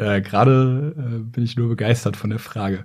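A man's voice, with ordinary pitch variation, comes through noticeable background noise. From northern Germany, Braunschweig. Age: 30s. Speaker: neurologist and YouTuber. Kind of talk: casual interview. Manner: hesitant with fillers.

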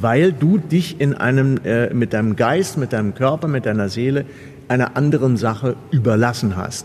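A man's medium-pitched voice at a fairly slow pace, with noticeable background noise. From Germany, Kassel (northern Hesse). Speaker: stage actor and photographer. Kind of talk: interview conversation. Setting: seated on a sofa inside a theatre building.

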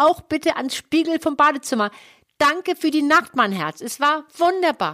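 A woman projects a raised voice at a high pitch with a bright, sharp tone, moving at a moderate pace with ordinary pitch variation in a dry, close sound with no echo. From Hamburg, northern Germany. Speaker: sex therapist and podcast co-host. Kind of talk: casual chat.

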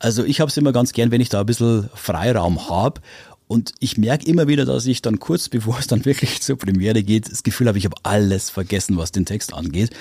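A man with a dark, mellow tone and somewhat breathy voice speaks at a medium pitch and a very fast pace, his intonation lively, in a very clean recording with a silent background. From Upper Palatinate, Bavaria. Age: 50s. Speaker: radio morning show host. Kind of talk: casual interview. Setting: studio.

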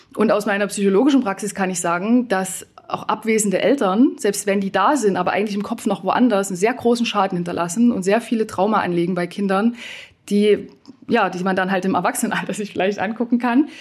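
Using a medium pitch and ordinary pitch variation, a woman speaks at a very fast pace. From eastern Germany. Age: 30s. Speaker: former nurse turned coach and consultant. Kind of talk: panel debate.

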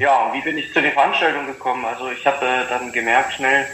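A man's voice sits at a medium pitch, with audible room echo and noticeable background noise around it. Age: 30s. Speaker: former pro cyclist and sports event organizer. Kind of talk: interview.

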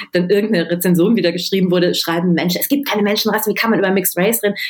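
A woman talks with ordinary pitch variation. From Germany, Düsseldorf. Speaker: novelist. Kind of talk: interview.

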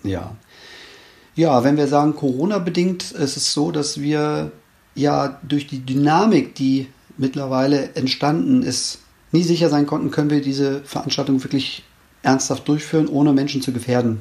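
This man's pitch is fairly high. His tone comes across dark and mellow. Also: ordinary pitch variation, moderate pace. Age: 50s. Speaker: race organizer and ultrarunner. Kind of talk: interview. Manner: hesitant, many fillers.

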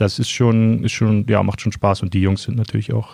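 A man's fairly low-pitched voice, a normal speaking voice, at a moderate pace. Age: 30s. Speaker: sports journalist. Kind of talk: interview.

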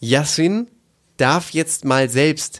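Swinging very widely in pitch, a man speaks at a very slow pace. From East Frisia, northern Germany. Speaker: podcast co-host. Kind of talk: casual chat.

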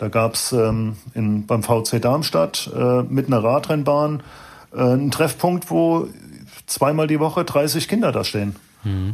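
A man has an unremarkable speaking voice at a medium pitch. He talks at a fairly slow pace with lively intonation. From Frankfurt/Wiesbaden, Hesse, Germany. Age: 50s. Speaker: cycling team director, former pro cyclist. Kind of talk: casual interview.

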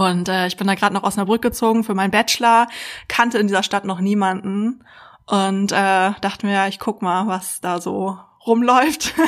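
An unremarkable speaking voice at a moderate pace, with fairly even intonation, on a very clean recording with a silent background. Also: woman. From Berlin, Germany. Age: 30s. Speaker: psychologist and dating expert. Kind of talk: casual interview chat.

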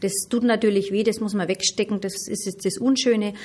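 There is noticeable background noise as a woman speaks at a medium pitch in a monotone, flat intonation. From Middle Franconia, Germany. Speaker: mayor. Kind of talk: interview. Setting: on location.

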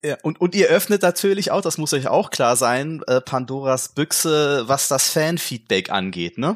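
A man with an ordinary speaking voice, fairly high in pitch, talks at a fairly slow pace with lively intonation, in a very clean recording with a silent background and a dry, close sound with no echo. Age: 40s. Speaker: gaming journalist, podcast co-host. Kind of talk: casual chat.

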